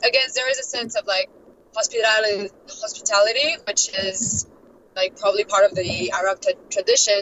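A woman with a French accent, medium pitch, fairly even intonation and a moderate pace, against noticeable background noise. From France, Paris. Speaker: expat traveler. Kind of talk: interview. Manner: hesitant, many fillers.

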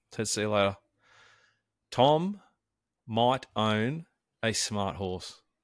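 With an Australian accent, a man speaks at a fairly slow pace. The sound is dry and close with no echo, on a very clean recording with a silent background. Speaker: sports and racing podcast host. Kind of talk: casual chat.

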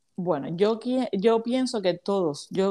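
A woman's voice moves with ordinary pitch variation on a very clean recording against a silent background. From Cuba, Havana. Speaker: business mentor for women entrepreneurs. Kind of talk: interview.

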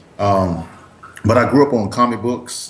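Audible room echo surrounds the voice. A man speaks with an American accent. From US East Coast. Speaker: actor and comic book creator. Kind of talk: casual interview. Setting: Skype call.

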